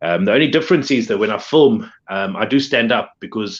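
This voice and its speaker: Speaking at a moderate pace with a South African accent, the voice makes very wide pitch swings over a quiet background. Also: man. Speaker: pop figure collector and video creator. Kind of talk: casual chat.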